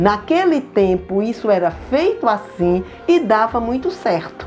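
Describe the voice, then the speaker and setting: Over music in the background, a woman speaks fairly slowly at a fairly high pitch, her voice swinging very widely in pitch. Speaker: speaker on elderly rights. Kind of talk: informative talk to seniors.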